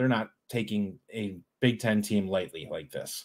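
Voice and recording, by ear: Speaking at a fairly slow pace, a man uses a fairly low voice with ordinary pitch variation.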